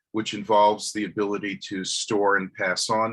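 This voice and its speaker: The speaker has a bright, sharp tone and talks at a fairly slow pace in a New York accent. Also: man. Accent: New York American. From US, New York. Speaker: professor. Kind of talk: lecture. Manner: slow, hesitant with fillers.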